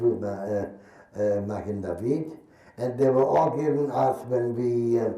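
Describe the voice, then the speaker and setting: A man's very slow speech with ordinary pitch variation, audible room echo and noticeable background noise. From Germany, Berlin. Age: 80s+. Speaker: Holocaust survivor and war veteran. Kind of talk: testimony. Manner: halting.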